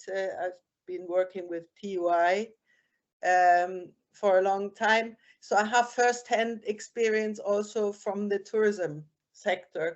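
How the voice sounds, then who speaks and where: Talking at a very slow pace in a German accent, a woman keeps a medium pitch and fairly even intonation. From Germany. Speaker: beach cleaner, former tourism manager, participant. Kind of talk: public consultation comment. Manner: halting.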